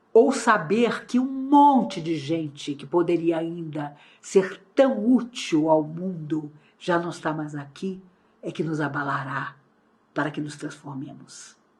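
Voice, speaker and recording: The delivery is very slow, somewhat breathy and full of lively intonation. Loudness rises and falls in big swings. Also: woman, fairly low pitch for a woman. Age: 60s. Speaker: spiritist lecturer. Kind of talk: lecture. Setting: online talk.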